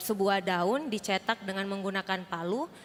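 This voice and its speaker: A woman speaks at a fairly slow pace. Her pitch is medium, with ordinary pitch variation. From Indonesia, Makassar (Sulawesi). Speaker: Sunday school teacher. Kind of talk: welcome speech at church service. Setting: church. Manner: formal.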